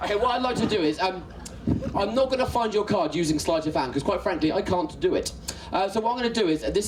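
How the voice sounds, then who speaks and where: Very fast and lively, a man talks in a high voice. The room echoes audibly, and background noise is noticeable. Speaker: comedy magician. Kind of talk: stand-up. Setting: stage with audience. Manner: animated.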